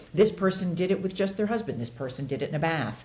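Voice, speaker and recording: Somewhat breathy and animated, a woman with an American accent speaks with lively intonation. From Los Angeles. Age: 60s. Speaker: actress and author. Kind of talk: podcast interview.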